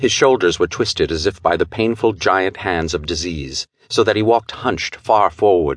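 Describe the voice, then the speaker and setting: A man with a plain, everyday voice, ordinary pitch variation and a moderate pace, recorded dry and close with no echo against a quiet background. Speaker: audiobook narrator. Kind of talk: dramatic audiobook narration of a pulp thriller, with character voices. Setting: studio. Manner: measured, theatrical pacing that builds tension.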